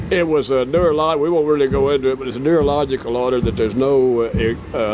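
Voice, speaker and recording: A man with a Texas accent talks at a medium pitch with ordinary pitch variation, and noticeable background noise can be heard. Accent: Texas drawl. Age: 70s. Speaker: country singer-songwriter. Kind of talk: casual interview.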